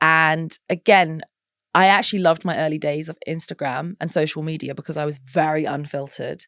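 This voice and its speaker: Recorded dry and close with no echo on a very clean, silent background, a woman with a Norfolk accent speaks fairly quickly at a very deep, low pitch with fairly even intonation. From eastern England, Norwich, Norfolk. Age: 30s. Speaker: model and mental health advocate. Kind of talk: podcast interview.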